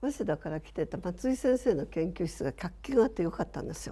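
A woman at a fairly quick pace. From Shizuoka, Japan. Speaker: architect. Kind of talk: reminiscence in panel discussion. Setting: online panel discussion.

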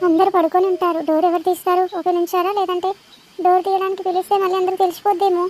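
This female-sounding cartoonish character voice sits at an extremely high pitch, with monotone, flat intonation and a fairly quick pace. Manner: muttering to herself.

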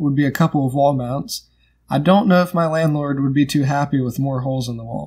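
Against a quiet background, a man talks at a very fast pace. His pitch varies in an ordinary way. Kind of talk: tutorial. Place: home room. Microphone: phone near.

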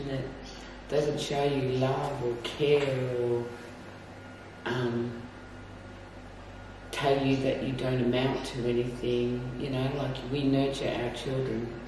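In a room with strong echo and noticeable background noise, a woman speaks very slowly in a very deep, low voice with monotone, flat intonation. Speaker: interviewee. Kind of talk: interview answer. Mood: reflective, somber. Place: office.

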